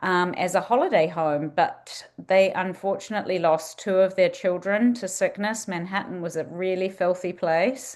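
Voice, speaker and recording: Speaking at a moderate pace with hardly any pauses, a woman uses a medium pitch. Her pitch varies in an ordinary way, and the background is quiet. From New Zealand. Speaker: museum director. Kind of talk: presentation with slides.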